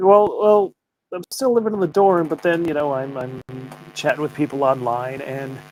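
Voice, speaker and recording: Over music in the background, a man with an American accent and a fairly high pitch talks with lively intonation, the sound dry and close with no echo. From Connecticut, US. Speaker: game publisher. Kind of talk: casual interview chat. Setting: livestream.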